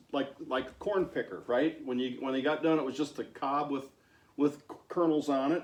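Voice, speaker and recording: Fairly even intonation and a fairly high pitch in an ordinary speaking voice from a man. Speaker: farmer, channel host. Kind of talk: casual talk to camera and interviewing.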